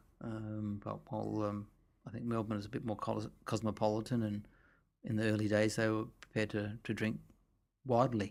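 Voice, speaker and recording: A soft-spoken man's fairly low, monotone and flat voice, fairly quick yet with long, frequent pauses, on a very clean recording with a silent background. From Australia. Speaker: winemaker. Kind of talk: interview answer.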